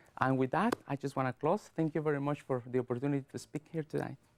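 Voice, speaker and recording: Recorded dry and close with no echo and a silent background, a man with a Latin American accent and a dark, mellow tone speaks at a fairly quick pace. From Guatemala. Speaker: public speaker. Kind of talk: speech. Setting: studio. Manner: fast; clipped word endings.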